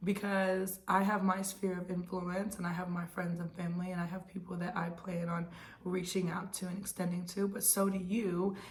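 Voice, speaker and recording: Medium-pitched woman's voice, monotone and flat, at a moderate pace with audible room echo. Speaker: real estate agent. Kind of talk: casual advice monologue.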